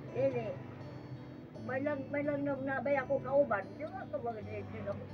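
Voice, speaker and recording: Moderately paced speech with audible room echo and noticeable background noise. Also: woman. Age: old. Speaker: elderly woman helped by charity. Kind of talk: casual chat.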